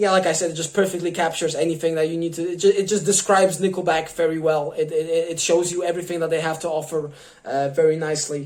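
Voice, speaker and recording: Very fast delivery over noticeable background noise. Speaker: YouTuber, music reviewer. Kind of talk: casual monologue to camera. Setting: on camera. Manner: halting, many fillers.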